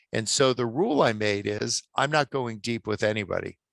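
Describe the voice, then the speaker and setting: Against a quiet background, a man with a plain, everyday voice speaks at medium pitch with ordinary pitch variation, the sound dry and close with no echo. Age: 60s. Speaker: author and attorney. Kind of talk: podcast interview.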